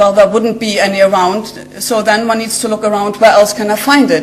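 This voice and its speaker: In a room with audible echo and noticeable background noise, a woman with a German accent talks at a medium pitch. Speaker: genetic scientist. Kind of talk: lecture. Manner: hesitant, many fillers.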